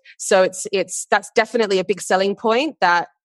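A woman with an Australian accent and ordinary pitch variation, in a dry, close sound with no echo and a quiet background. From Western Australia, Perth. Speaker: marketing manager. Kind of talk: interview.

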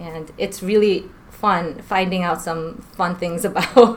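Noticeable noise sits in the background. The voice carries an American accent. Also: woman. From New York. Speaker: school counselor. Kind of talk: casual interview. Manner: laughing often.

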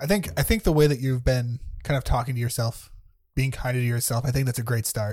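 A man's somewhat breathy voice at a medium pitch, very fast in pace, with ordinary pitch variation. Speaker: podcast host. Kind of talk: casual conversation.

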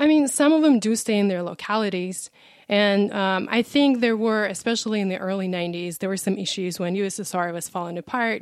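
A woman with a Russian accent at a fairly quick pace, ordinary pitch variation, very clean recording with a silent background. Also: medium pitch for a woman. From Russia, Ural Mountains. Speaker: travel guest. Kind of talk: casual interview.

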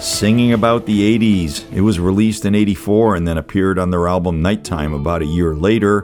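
A man with an American accent speaks at a moderate pace in an upbeat tone, his fairly low voice moving with lively intonation and hardly any pauses while music plays in the background. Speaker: radio host. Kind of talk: radio DJ patter, intro and back-announcing songs. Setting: radio studio broadcast. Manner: conversational, wry and chatty; upbeat, jokey.

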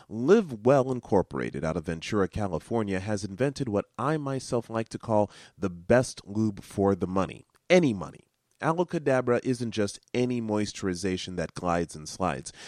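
A man with a plain, everyday voice and a fairly low pitch speaks at a moderate pace with lively intonation, in a dry, close sound with no echo on a very clean recording with a silent background. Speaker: radio show host. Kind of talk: radio DJ patter: a station ID, then a plug for the show's web address and email. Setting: radio station broadcast and podcast.

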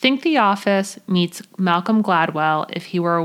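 This woman has an unremarkable speaking voice, fairly low in pitch with ordinary pitch variation, at a moderate pace. The recording is very clean, with a silent background. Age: 30s. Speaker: podcast host. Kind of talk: scripted monologue. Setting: recording under a blanket. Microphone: muffled by blanket for acoustics.

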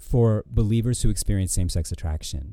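With an American accent, a man with a fairly low pitch and a dark, mellow tone speaks at a moderate pace. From Michigan, US Midwest. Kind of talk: casual chat; ministry message.

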